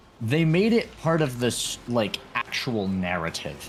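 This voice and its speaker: Against noticeable background noise, a man of medium pitch talks with very wide pitch swings. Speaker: gaming streamer. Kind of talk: casual chat. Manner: slurring words.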